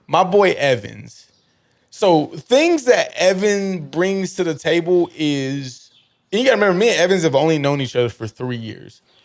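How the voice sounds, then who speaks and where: Loud and high-pitched, a man talks at a moderate pace with very wide pitch swings. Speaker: podcast host and sports coach. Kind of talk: casual chat. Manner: animated.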